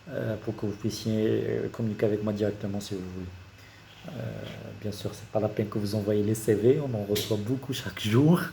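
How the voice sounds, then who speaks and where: With long, frequent pauses, a man talks at a moderate pace in a fairly low voice with ordinary pitch variation. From Morocco, Casablanca. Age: 30s. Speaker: engineer and YouTuber. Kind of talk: career talk to camera. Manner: hesitant, many fillers.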